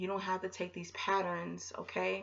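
A woman is speaking. The background is quiet. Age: 30s. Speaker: YouTuber on narcissistic abuse; vlogger. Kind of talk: casual vlog monologue. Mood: earnest, opinionated. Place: home room. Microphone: webcam.

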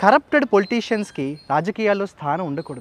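A man's high voice moves through very wide pitch swings. The sound is dry, with no echo. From Andhra Pradesh, Kakinada; Andhra Pradesh. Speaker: English professor and political party worker; English professor. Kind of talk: political speech to camera. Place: garden. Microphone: phone near.

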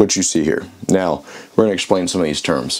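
A man's very deep, low voice carries through noticeable background noise. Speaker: archery educator. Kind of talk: tutorial.

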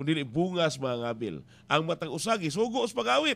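The tone of this man's voice is bright and sharp. He talks at a fairly quick pace with very wide pitch swings. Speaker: radio preacher. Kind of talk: radio sermon. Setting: radio station. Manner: earnest, exhortative preaching. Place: booth. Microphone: studio mic.

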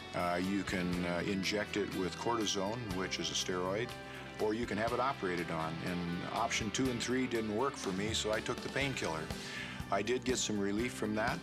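Music in the background behind a man at a moderate pace with ordinary pitch variation. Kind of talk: testimonial interview answer. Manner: casual, hesitant.

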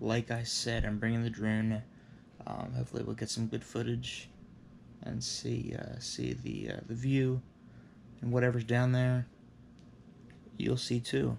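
Fairly slow delivery with long, frequent pauses and light background noise. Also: man. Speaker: vlogger. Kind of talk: casual vlog chat. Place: home room. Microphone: phone near.

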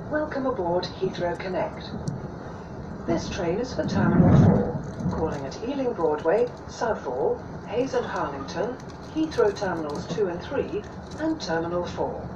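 Noticeable background noise behind speech at a fairly slow pace. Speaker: automated train announcer. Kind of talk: recorded public announcement. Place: train.

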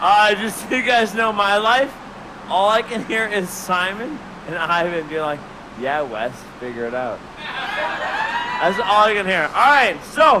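A man speaks in a raised, projected voice, leaving long, frequent pauses. Noticeable background noise runs underneath. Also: fairly slow pace. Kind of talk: comedy stage banter with audience. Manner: loose, tipsy rambling stage talk. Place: stage. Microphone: headset.

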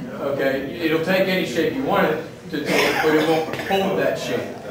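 A man talks fairly slowly with ordinary pitch variation, while noticeable background noise and audible room echo surround him. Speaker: leatherworking instructor. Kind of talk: demonstration talk to a class. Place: workshop. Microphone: camera far.

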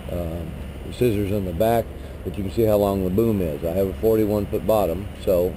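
A man talks at a moderate pace in a fairly low pitch, with ordinary pitch variation. There is noticeable background noise, and the sound is dry with no echo. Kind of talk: tutorial. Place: street. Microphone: phone near.

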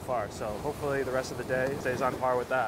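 An upbeat voice sounds dry with no echo against noticeable background noise. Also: man. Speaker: travel vlogger. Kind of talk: travel vlog narration. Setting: outdoors. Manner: quieter in residential areas; casual, upbeat. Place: street. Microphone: lapel.

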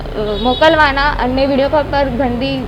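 Amid noticeable background noise, a woman talks in a high voice. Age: 20s. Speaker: complainant in a police case. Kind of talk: testimony.

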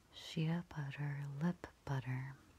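Speaking at a very slow pace, the voice is soft-spoken. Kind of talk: ASMR soft-spoken talk.

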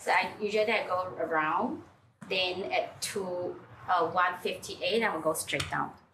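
A woman speaks rather slowly, her pitch shifting in a normal way, amid clearly audible background noise. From Singapore. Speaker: home coffee brewer. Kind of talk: casual chat. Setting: at home. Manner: halting. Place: kitchen.

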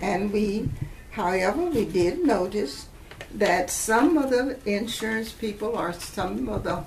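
A woman talks very slowly while light background noise can be heard. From Huntsville, Alabama. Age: 80s+. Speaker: retired educator. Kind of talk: oral history interview answer. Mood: calm, reflective storytelling. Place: home room.

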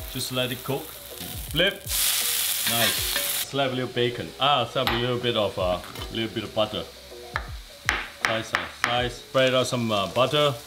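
Against loud background noise, a man talks at a fairly slow pace with ordinary pitch variation. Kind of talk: tutorial. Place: kitchen.

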